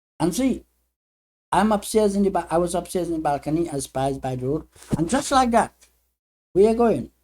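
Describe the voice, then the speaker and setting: The speaker moves at a fairly quick pace but stops for long, frequent pauses. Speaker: storyteller. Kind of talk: personal storytelling monologue.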